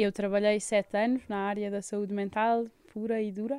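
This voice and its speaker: On a very clean recording with a silent background, a woman with a dark, mellow tone speaks at a moderate pace and a fairly high pitch. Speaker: palliative care nurse. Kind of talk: radio interview.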